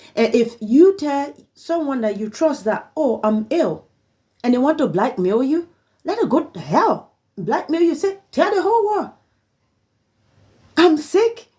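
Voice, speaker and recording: With long, frequent pauses and a fairly slow pace, a woman speaks in a high, dark and mellow voice whose pitch swings very widely. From Liberia. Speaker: vlogger. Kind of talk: personal appeal monologue. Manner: halting.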